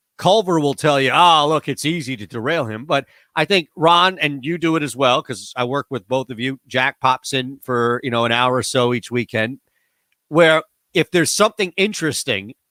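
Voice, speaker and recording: Loud and bright with a sharp tone, a man speaks at a moderate pace with ordinary pitch variation in a dry, close, very clean recording with no echo and a silent background. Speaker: radio host. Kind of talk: casual chat. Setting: home studio.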